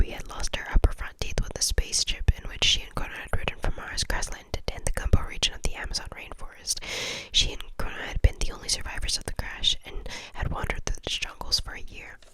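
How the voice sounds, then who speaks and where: Against noticeable background noise, a woman whispers at a very fast pace with big swings in loudness. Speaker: ASMR content creator. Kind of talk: audiobook-style reading.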